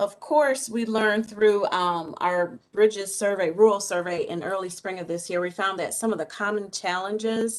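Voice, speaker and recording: A woman talks in a plain, everyday voice at medium pitch with ordinary pitch variation. She keeps a moderate pace with hardly any pauses. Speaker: college staff presenter. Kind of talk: presentation at board meeting.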